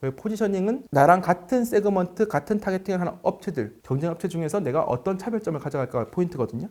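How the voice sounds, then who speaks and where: Very fast delivery from a man with a high pitch and lively intonation. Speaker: fitness business consultant. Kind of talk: interview.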